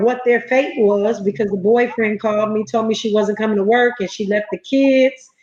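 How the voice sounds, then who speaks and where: With ordinary pitch variation, a woman talks in an unremarkable speaking voice. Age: 50s. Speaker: entrepreneur and foster parent. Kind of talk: interview. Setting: livestream.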